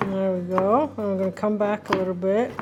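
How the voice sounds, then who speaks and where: A woman with a medium pitch talks at a fairly quick pace in a monotone, flat way. Music plays in the background. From Poland. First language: Polish. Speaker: cooking show host. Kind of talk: cooking tutorial with a child. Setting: home kitchen. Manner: warm, encouraging.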